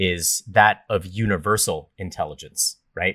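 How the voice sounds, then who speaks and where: The man has a fairly low pitch with ordinary variation. He talks at a fairly slow pace in a dry, close sound with no echo. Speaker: podcast co-host and tech entrepreneur. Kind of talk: casual chat. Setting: remote call. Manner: animated.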